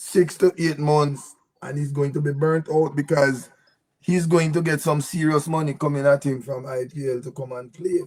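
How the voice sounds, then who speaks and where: Fairly high for a man, this voice is somewhat breathy. He keeps a moderate pace and fairly even intonation. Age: 70s. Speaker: cricket commentator, mind power trainer. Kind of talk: live show panel discussion.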